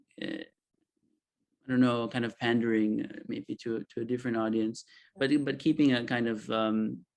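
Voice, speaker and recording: At a fairly slow pace, a man with a slight Israeli accent talks at a medium pitch with fairly even intonation. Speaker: author. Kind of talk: panel discussion. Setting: video call. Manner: halting.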